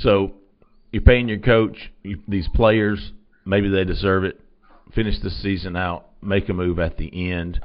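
This man has an unremarkable speaking voice with a fairly low pitch. He talks at a fairly slow pace. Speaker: recruiting editor and show host. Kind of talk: casual sports talk show chat. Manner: casual, upbeat, chatty.

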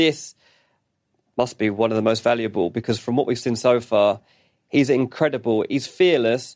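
Speaking with a British accent at a fairly quick pace, a man uses a medium pitch and ordinary pitch variation on a very clean recording with a silent background. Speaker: football journalist. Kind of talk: casual chat.

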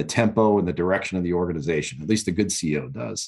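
A man with an American accent speaks with lively intonation and vocal fry. The background is quiet. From New York. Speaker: retired military lawyer. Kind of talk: interview.

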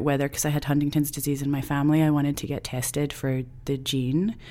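In a Scottish accent, a woman speaks with a very deep, low pitch. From Scotland. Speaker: filmmaker and actor. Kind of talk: interview, personal reflection.

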